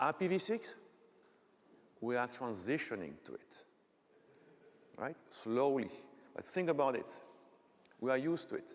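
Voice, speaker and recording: With a Belgian French accent and vocal fry, a man talks at a moderate pace, his pitch swinging very widely. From Belgium, French-speaking part. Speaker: technical conference speaker; conference presenter. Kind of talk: lecture. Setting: stage with audience. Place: hall.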